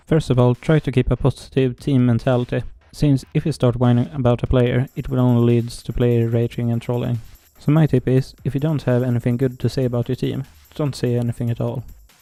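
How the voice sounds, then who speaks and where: The speech is flat and monotone at a fairly quick pace. The sound is dry and close with no echo, with music in the background. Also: man, medium pitch for a man. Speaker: gaming guide creator. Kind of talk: game tutorial voiceover.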